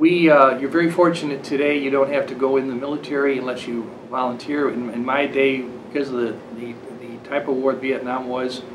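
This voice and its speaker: A man at medium pitch with an American accent, fairly quick and monotone, flat in intonation, amid noticeable background noise and audible room echo. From US. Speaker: Vietnam War veteran. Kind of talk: interview testimony.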